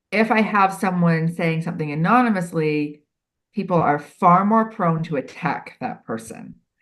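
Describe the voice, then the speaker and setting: This woman's voice is fairly low in pitch. Her intonation is lively. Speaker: HR expert and writer. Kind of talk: podcast interview. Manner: fast.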